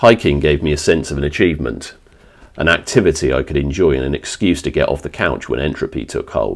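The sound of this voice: A man's extremely low-pitched voice with vocal fry, lively intonation and a fairly quick pace.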